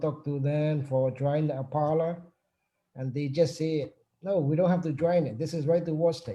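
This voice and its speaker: A man's fairly high, dark, mellow voice with a non-native accent and fairly even intonation over a quiet background. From Burma. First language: not English. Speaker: union chapter president. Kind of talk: panel discussion. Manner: halting.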